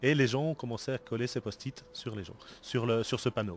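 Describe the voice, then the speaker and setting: The pitch varies in an ordinary way. The speaker has a Belgian accent. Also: man. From Belgium. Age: 40s. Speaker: board game designer. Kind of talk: interview. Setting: convention event.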